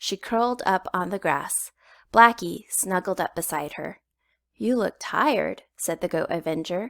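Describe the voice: Against a quiet background, the text is given as plain reading aloud.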